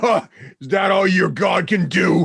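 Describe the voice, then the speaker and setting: A man puts on a raspy character voice pitched high. He delivers it at a fairly slow pace. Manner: derisive, mocking.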